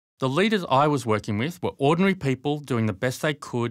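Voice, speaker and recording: A man with a plain, everyday voice, medium pitch and lively intonation, on a very clean recording with a silent background. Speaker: leadership coach and author. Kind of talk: book trailer narration.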